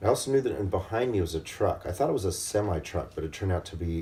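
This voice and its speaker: Very fast and somewhat breathy, a man speaks at a very deep, low pitch in a dark, mellow tone. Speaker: video blogger. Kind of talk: casual storytelling. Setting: hotel room.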